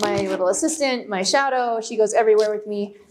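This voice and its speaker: A woman at a moderate pace with ordinary pitch variation, noticeable background noise behind her. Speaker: dog trainer. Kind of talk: public talk. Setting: library room with audience. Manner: loud.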